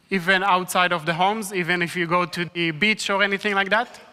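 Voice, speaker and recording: The speaker has an Israeli accent. The pace is moderate. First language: Hebrew. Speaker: evangelist. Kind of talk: talk to church audience.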